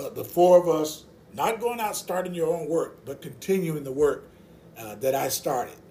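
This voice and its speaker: With a dark, mellow tone and a fairly high pitch, a man talks at a moderate pace. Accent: American. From rural Mississippi. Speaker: associate pastor, Navy veteran. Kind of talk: casual interview about faith.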